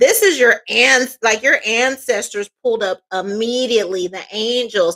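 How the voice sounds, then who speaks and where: A woman's fairly high voice, an ordinary speaking voice, at a fairly slow pace with hardly any pauses. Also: ordinary pitch variation. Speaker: tarot reader. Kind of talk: tarot reading.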